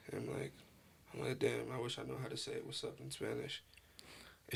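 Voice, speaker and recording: A man talks at a very fast pace in a New York accent, with noticeable background noise behind him. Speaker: podcast host. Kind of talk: casual chat.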